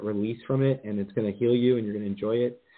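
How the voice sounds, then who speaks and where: In an American accent, a man rattles along at a very fast pace with monotone, flat intonation. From New Jersey. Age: 40s. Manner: fast talker.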